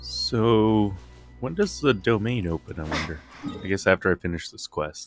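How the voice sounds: Faint music plays in the background as a man talks at a moderate pace with fairly low pitch and lively intonation.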